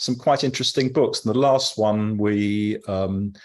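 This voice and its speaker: A man with a southern English accent speaks at medium pitch and a moderate pace. His pitch varies in an ordinary way, and the background is quiet. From London. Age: 70s. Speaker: cycling group leader. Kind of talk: interview. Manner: halting.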